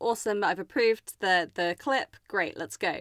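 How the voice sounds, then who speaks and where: A woman speaks at a moderate pace with medium pitch in an unremarkable speaking voice. The recording is very clean with a silent background, dry and close with no echo. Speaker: podcast host. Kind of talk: interview chat.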